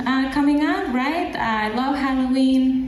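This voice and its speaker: Speaking with a slight Mexican accent, a woman is heard over noticeable background noise and audible room echo. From Mexico. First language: Spanish. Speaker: stand-up comedian. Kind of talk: stand-up. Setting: stage with live audience.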